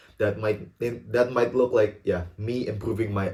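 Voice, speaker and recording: Somewhat breathy with a dark, mellow tone, a man's voice moves at a moderate pace. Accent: Indonesian. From Indonesia. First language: Indonesian. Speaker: student YouTuber. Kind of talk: casual vlog talk to camera. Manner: halting, stumbles and repeats words.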